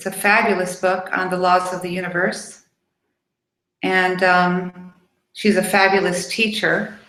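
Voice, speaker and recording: Audible room echo surrounds a woman speaking in a flat monotone. She talks at a fairly slow pace with long, frequent pauses. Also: medium pitch for a woman. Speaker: spiritual teacher. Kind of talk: webinar talk. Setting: live video webcast. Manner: hesitant fillers, um.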